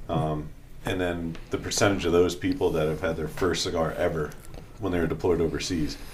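A man with a very deep, low pitch talks at a fairly quick pace. His voice is somewhat breathy, with ordinary pitch variation. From Boston, US. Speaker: veteran and cigar company co-owner. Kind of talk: casual interview chat. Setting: studio.

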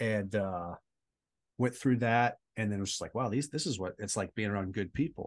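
A man with an American accent and a plain, everyday voice speaks at a fairly low pitch and a moderate pace against a quiet background. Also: ordinary pitch variation. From Southern California. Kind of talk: interview testimony.

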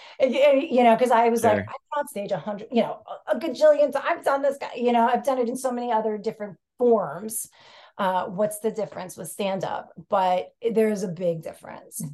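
A woman talks at a fairly quick pace with a New York accent. Her fairly high voice has a dark, mellow tone and lively intonation. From New York City. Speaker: stand-up comedian, podcast guest.

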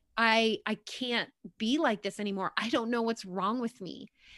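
Against a quiet background, a woman with an American accent speaks at a moderate pace in a bright, sharp tone, with ordinary pitch variation. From New York. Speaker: author and fitness coach. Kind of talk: interview about faith and healing.

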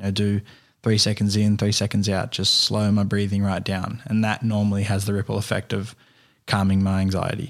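A fairly low-pitched man with an Australian accent at a moderate pace, his intonation monotone and flat, on a very clean recording with a silent background. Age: 20s. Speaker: carpenter and filmmaker. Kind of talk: casual interview. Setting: at guest's home.

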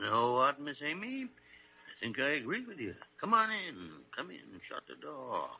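A put-on character voice with very wide pitch swings, vocal fry, a slightly husky edge and a moderate pace. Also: man, medium pitch for a man.

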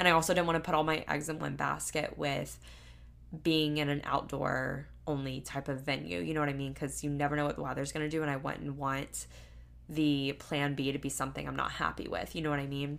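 This woman has an American accent and a very deep, low pitch with vocal fry. She talks at a fairly quick pace with fairly even intonation. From US South, Florida Panhandle. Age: 20s. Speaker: podcast host. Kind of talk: solo Q&A monologue. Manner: casual, filler-heavy.

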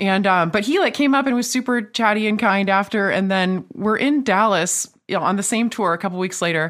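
Speaking at a fairly quick pace, a woman uses a plain, everyday voice at a medium pitch with ordinary pitch variation. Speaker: musician. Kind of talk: casual chat.

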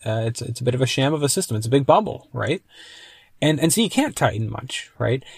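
A man speaks at a medium pitch, his voice somewhat breathy. The recording is very clean with a silent background, and the sound is dry and close with no echo. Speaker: YouTube precious metals commentator. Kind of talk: solo commentary podcast. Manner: halting with many fillers; rambling.

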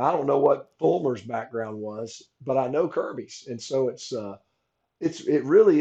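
With a Southern US accent, a man talks at a moderate pace in a fairly high, dark, mellow voice. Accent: Southern US (Georgia). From Georgia, US South. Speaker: former college football player and commentator. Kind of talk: casual chat.

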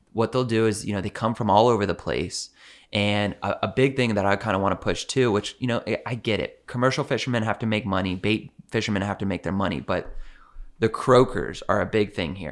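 A man uses a normal speaking voice, fairly low in pitch, with ordinary pitch variation at a fairly quick pace. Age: 30s. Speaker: fishing guide. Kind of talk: casual chat.

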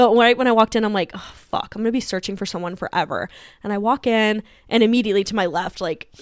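A woman's fairly high voice, very fast and animated, with ordinary pitch variation. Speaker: podcast co-host. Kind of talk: casual chat. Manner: loud.

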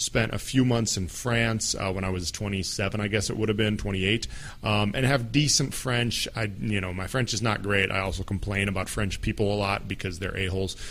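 A man with an American accent and a fairly low pitch speaks at a moderate pace with fairly even intonation and hardly any pauses, in audible room echo. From United States. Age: 30s. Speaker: podcast host. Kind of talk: solo podcast monologue.

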